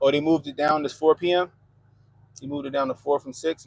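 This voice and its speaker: Talking at a very fast pace with an American accent, a man keeps a fairly high pitch in monotone, flat intonation, the sound dry and close with no echo. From US, Baltimore, Maryland. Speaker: live streamer. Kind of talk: casual live stream chat reading comments. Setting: live stream.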